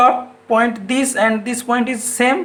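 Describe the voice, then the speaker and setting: A man with an extremely high pitch speaks at a fairly slow pace, with audible room echo and noticeable background noise. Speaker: assistant professor, engineering lecturer. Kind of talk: lecture. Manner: halting.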